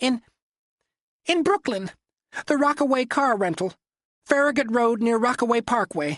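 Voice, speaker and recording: This put-on character voice sits at a fairly high pitch. It moves at a moderate pace with long, frequent pauses. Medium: read story. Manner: whimpering, pleading.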